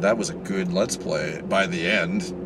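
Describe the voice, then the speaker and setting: A man's pitch swings very widely as he talks. Noticeable background noise and audible room echo fill the recording. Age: 30s. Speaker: vlogger. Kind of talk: casual vlog monologue.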